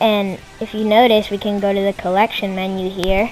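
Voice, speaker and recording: Talking at a medium speed over background music. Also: woman. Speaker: gaming YouTuber. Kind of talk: gameplay commentary. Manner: hesitant, many fillers. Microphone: bad audio quality.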